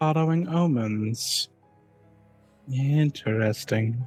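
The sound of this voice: Soft-spoken and very slow, a man puts on a character voice at a medium pitch while faint music plays in the background.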